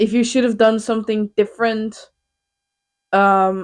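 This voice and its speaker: The woman speaks with a Dutch accent at a fairly slow pace. The recording is very clean, with a silent background. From Netherlands. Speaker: podcast co-host. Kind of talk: casual chat. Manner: animated.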